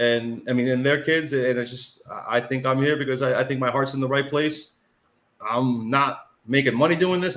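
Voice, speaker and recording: This man's voice sits at a fairly high pitch, and he talks at a fairly quick pace. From Sullivan County, New York (moved from Brooklyn as a child). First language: not English (immigrant parents). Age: 40s. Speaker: mayor. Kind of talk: interview. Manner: halting, with many repeated words.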